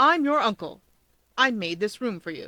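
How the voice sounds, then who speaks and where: In a put-on character voice, a woman speaks at a fairly high pitch. Her pitch swings very wide, and her pace is moderate. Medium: read story. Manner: theatrical, indignant.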